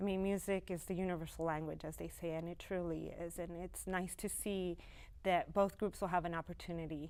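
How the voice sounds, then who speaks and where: Fairly quick and monotone, a woman talks in a fairly low pitch with an American accent and flat intonation. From El Paso, Texas. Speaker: orchestra operations manager. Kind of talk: TV interview.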